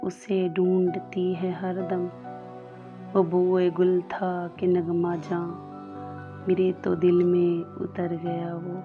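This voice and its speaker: A woman speaks at medium pitch in a monotone, flat intonation. Music plays in the background. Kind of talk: poetry reading.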